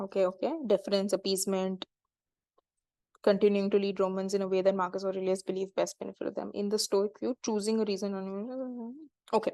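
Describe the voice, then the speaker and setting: A woman with a dark, mellow tone speaks at a fairly quick pace with fairly even intonation. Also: medium pitch for a woman. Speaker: exam prep YouTuber. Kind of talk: live test-solving walkthrough. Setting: video call. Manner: fast; halting, many fillers.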